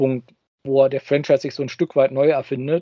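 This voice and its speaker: A man at medium pitch talking at a very fast pace. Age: 30s. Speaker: podcast co-host, toy news reporter. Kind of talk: casual chat.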